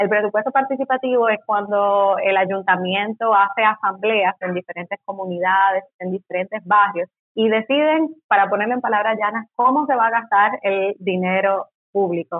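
A woman's ordinary speaking voice at a medium pitch, with ordinary pitch variation. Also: moderate pace. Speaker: political scientist. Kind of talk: interview.

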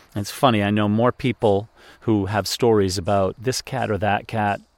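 An unremarkable speaking voice from a man, fairly low in pitch with fairly even intonation at a moderate pace, dry and close with no echo, on a very clean recording with a silent background. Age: 50s. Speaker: podcast host. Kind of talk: personal reflection monologue. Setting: outdoors on a deck.

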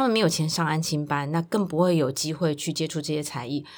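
On a very clean recording with a silent background, a woman talks at a fairly quick pace in a very deep, low voice. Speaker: children's service center director. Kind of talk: interview.

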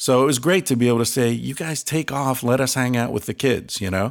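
Vocal fry at a moderate pace in a very clean recording with a silent background. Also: man. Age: 50s. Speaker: author and researcher. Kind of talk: casual interview.

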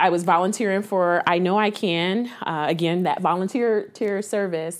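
A woman with a Midwestern American accent speaks in a fairly low voice with ordinary pitch variation. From Columbus, Ohio. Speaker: nonprofit executive director. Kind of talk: interview.

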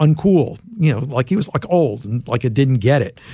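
Somewhat breathy and dark, mellow in tone, a man with an American accent talks at a fairly quick pace with fairly high pitch and lively intonation over a quiet background. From US, Philadelphia. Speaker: journalist and author. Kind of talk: interview.

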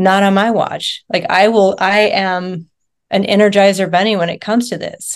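A woman's unremarkable speaking voice at a medium pitch, moderate pace and fairly even intonation. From rural Nevada, US. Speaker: nurse and wellness coach. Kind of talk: interview.

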